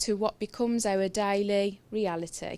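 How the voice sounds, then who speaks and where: In a Brummie accent, a woman speaks at a fairly slow pace with a medium pitch and monotone, flat intonation. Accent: Brummie, trying to reduce it. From Birmingham, England. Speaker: nurse and healthcare IT speaker. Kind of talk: conference presentation. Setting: stage at an event with audience.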